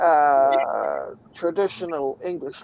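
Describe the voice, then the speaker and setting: This man talks in a New Zealand accent. The rise and fall of his pitch is ordinary. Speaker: livestream host. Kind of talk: casual chat. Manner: casual, profane.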